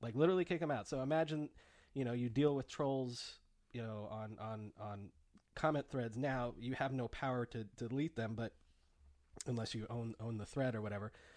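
A man speaks at medium pitch and a moderate pace, with ordinary pitch variation. He has an unremarkable speaking voice, set against a quiet background. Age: 30s. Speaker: podcast host. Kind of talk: casual chat.

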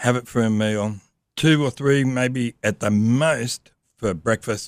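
This man speaks very slowly with an Australian accent. His pitch is medium, with ordinary pitch variation. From Australia, Sydney. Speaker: motorcycle traveller. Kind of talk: casual chat.

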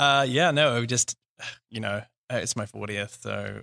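A man speaks at fairly low pitch with vocal fry, a bright, sharp tone and fairly even intonation. The recording is very clean with a silent background and a dry, close sound with no echo. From New Zealand. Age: 40s. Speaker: tech company founder. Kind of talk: interview conversation.

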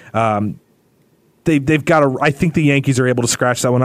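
Using an ordinary speaking voice, a man talks at a medium pitch and fairly quick pace with ordinary pitch variation. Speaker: podcast host. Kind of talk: casual sports podcast banter.

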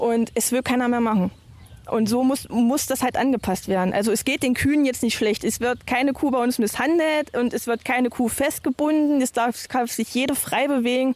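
Here a woman talks at a moderate pace in a high voice with ordinary pitch variation. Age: 30s. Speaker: farmer. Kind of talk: casual chat. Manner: halting.

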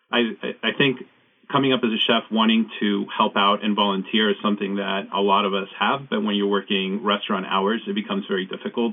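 A man speaks at a fairly quick pace with a fairly low pitch. His intonation is monotone and flat. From Mexico (Chihuahua), raised in El Paso, Texas. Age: 40s. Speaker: chef. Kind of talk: casual chat. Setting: remote studio.

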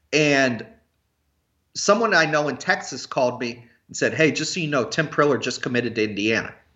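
A man with a normal speaking voice, fairly high pitch, an American accent, lively intonation and a fairly quick pace. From US Midwest, Cincinnati. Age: 30s. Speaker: college basketball recruiting analyst. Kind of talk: casual chat.

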